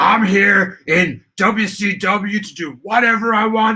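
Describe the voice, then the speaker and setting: A man projects a raised, put-on character voice. He speaks high for a man at a fairly slow pace. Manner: bombastic, boasting.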